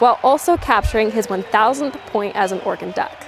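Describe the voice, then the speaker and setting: A woman talks in an American accent at a moderate pace, with noticeable background noise behind her. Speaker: college sports reporter and anchor. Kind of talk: recorded game recap voiceover. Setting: studio and broadcast.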